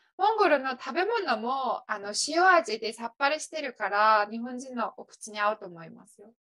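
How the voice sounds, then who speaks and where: A woman with a high, bright, sharp voice talks at a moderate pace with hardly any pauses, very wide pitch swings and big swings in loudness. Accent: Mongolian. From western Mongolia. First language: Mongolian (speaking Japanese). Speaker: office worker. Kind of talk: casual interview.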